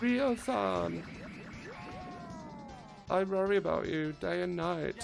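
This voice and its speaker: Over clear background noise, a man puts on a whiny character voice, high in pitch and at a fairly slow pace. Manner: worried.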